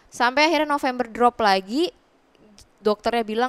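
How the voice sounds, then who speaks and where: A woman is speaking. Her voice has a fairly high pitch. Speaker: widow guest. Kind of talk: emotional interview about grief. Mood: somber, reflective storytelling. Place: studio. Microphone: headset.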